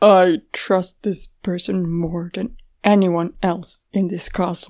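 In a put-on character voice, a woman delivers her lines fairly slowly at a medium pitch. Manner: calm but fragile, on the edge of breaking.

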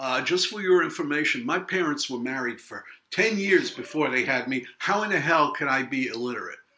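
Talking at a fairly quick clip with hardly any pauses, a man with a Brooklyn accent uses a fairly high pitch and lively intonation. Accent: New York (Brooklyn). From Brooklyn, New York. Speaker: author. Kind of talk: casual interview chat.

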